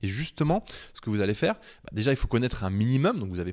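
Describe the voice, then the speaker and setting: A man talking at a very fast pace, his pitch swinging very widely, against a quiet background. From France, Beaujolais countryside; France. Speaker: web design trainer, freelance webmaster; web design trainer. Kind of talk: tutorial. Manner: casual, with many hesitations. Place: home room. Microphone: handheld.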